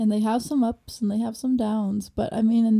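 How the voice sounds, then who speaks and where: A woman speaks in an amused tone at a fairly quick pace, her voice dark, mellow and somewhat breathy with a fairly high pitch. The recording is very clean, with a silent background. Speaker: podcast co-host. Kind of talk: casual chat. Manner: giggly, easily amused.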